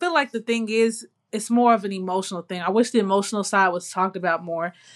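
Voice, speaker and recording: In a normal speaking voice, a woman talks at medium pitch with ordinary pitch variation, the sound dry and close with no echo against a quiet background. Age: young. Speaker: podcast co-host. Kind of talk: casual chat.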